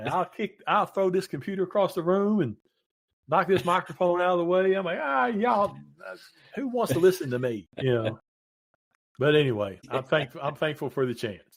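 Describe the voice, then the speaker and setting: Talking at a fairly quick pace, a man with a Southern West Virginia accent uses a high pitch with very wide pitch swings. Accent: Southern West Virginia, noticeable. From Southern West Virginia (Williamson). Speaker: retired paramedic and radio DJ. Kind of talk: casual interview chat.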